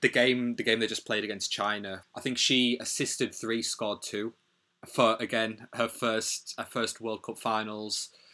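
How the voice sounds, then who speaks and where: On a very clean recording with a silent background, a man with a Teesside accent speaks at a fairly slow pace and medium pitch, his tone bright and sharp and his intonation monotone and flat. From northern England, Middlesbrough. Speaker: athlete, artist and activist. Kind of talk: casual chat. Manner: halting, many fillers.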